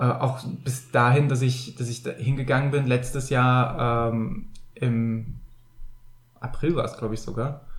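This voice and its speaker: A somewhat breathy man at medium pitch, with long, frequent pauses and audible room echo. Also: fairly even intonation, fairly slow pace. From Rhineland, Bergisches Land (Germany). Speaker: podcast co-host. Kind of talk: casual chat. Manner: halting, many filler sounds.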